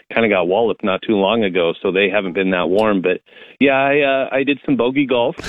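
A man talks at a moderate pace in a plain, everyday voice, with a medium pitch and ordinary pitch variation. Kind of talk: live TV meteorologist giving a weather report by phone, model-by-model storm forecast. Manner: measured, conversational, with fillers and hedging.

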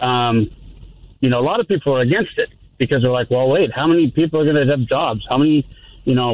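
Talking at a very fast pace, a man with a fairly high voice uses ordinary pitch variation. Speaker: radio caller. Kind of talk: call-in conversation. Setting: phone call.

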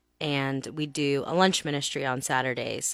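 In a monotone, flat delivery, a woman with an American accent speaks at a very deep, low pitch, the sound dry and close with no echo on a very clean recording with a silent background. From Texas. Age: 30s. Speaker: pastor. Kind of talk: radio interview. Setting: studio.

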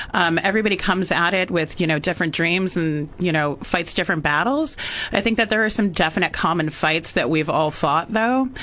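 A woman with an American accent talks at a fairly quick pace with ordinary pitch variation. It is an ordinary speaking voice. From California Central Coast. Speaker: former restaurant owner. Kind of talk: radio talk show discussion. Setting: radio studio.

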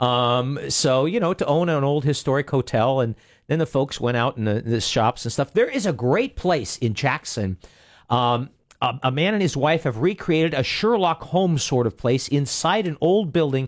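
With an ordinary speaking voice, a man speaks at a fairly high pitch and a moderate pace, his intonation lively and his loudness very even over a quiet background. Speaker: radio host. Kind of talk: radio talk show. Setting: studio.

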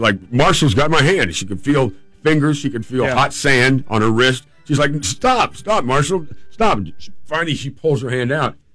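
Against music in the background, a man with a fairly high pitch and lively intonation talks at a moderate pace. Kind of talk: ghost story telling, casual radio chat. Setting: radio show. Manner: animated, conversational, playful; jokey, with laughs and mock-dramatic voices.

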